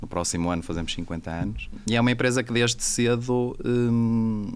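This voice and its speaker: Man with a Portuguese accent, medium pitch, ordinary pitch variation and a moderate pace. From Portugal. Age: 40s. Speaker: business executive. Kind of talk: casual interview chat. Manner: hesitant, many fillers.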